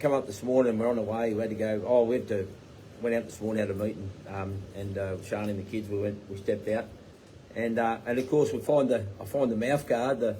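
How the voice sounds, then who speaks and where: Audible room echo surrounds a speaker with an Australian accent. The pace is very fast and the intonation fairly even. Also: man, fairly low pitch for a man. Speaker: tiny home builder and business owner. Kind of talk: live Q&A chat. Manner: rambling with fillers.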